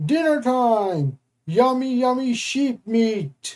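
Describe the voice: Bellowing in a put-on character voice, a female-sounding voice with a high pitch moves at a very slow pace.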